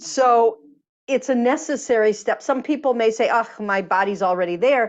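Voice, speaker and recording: A woman speaks at a moderate pace with lively intonation. She has an ordinary speaking voice, fairly high in pitch. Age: 60s. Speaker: energy healer and author. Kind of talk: interview.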